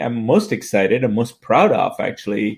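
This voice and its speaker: The very clean recording, with a silent background, carries a voice with very wide pitch swings. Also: man. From US South (Atlanta), born in Tanzania. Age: 60s. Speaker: healthcare tech entrepreneur. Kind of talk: interview conversation.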